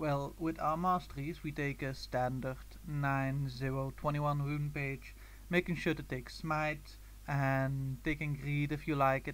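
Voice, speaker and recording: The speaker talks at a fairly slow pace in a Belgian accent. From Belgium. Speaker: gaming guide creator. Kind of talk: tutorial.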